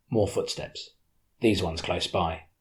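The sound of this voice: Reading done in an unforced reading voice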